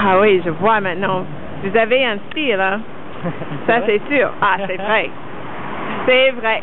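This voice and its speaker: Noticeable background noise accompanies a woman speaking at a very slow pace. She leaves long, frequent pauses, and her pitch varies in an ordinary way. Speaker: street style interviewer. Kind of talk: casual street interview questions. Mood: amused, charmed. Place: street. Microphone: phone near.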